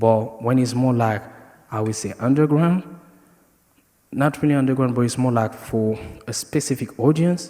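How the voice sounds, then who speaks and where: With ordinary pitch variation, a man's medium-pitched voice keeps a moderate pace. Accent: French. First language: French. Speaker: dancer. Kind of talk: panel discussion.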